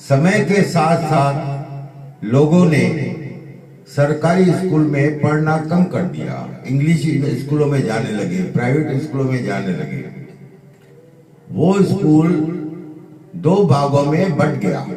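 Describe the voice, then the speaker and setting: Noticeable background noise and audible room echo surround a man with a fairly high pitch. His pitch varies an ordinary amount, and he leaves long, frequent pauses. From India, Gandhidham, Kutch (Gujarat), Sindhi community. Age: 70s. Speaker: pandit sharing life memories. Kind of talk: personal reminiscence monologue.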